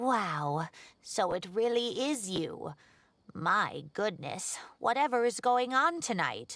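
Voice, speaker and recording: A put-on character voice from a woman, fairly high in pitch and fairly slow in pace. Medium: video game. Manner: chatty, exclamatory.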